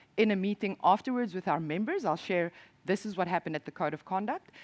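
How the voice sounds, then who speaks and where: A woman with a South African accent talks at a fairly quick pace and medium pitch, her intonation lively, in a dry, close sound with no echo. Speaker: industry association programme director. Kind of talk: conference presentation. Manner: hesitant, with fillers and restarts.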